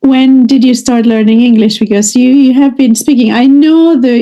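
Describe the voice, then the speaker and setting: Her voice carries a dark, mellow tone. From Canada. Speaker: English teacher. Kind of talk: online lesson conversation.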